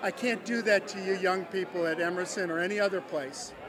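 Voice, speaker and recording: Against crowd noise in the background, the speech moves at a fairly quick pace. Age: 60s. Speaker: political supporter. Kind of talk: interview. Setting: election watch party event hall. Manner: animated.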